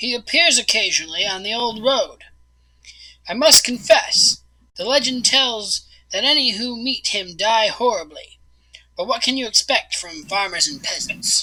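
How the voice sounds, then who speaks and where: Putting on a raspy character voice, a woman speaks at a moderate pace in a high voice with lively intonation. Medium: actual play. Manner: calculating, persuasive.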